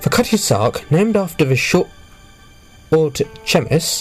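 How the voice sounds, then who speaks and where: Music plays in the background while a man speaks with very wide pitch swings. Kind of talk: history narration.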